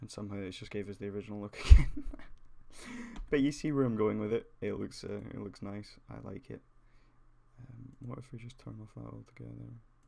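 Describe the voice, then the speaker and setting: Fairly quick male speech broken by long, frequent pauses, with big swings in loudness. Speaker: 3D graphics tutorial creator. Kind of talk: tutorial. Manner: casual, hesitant with fillers.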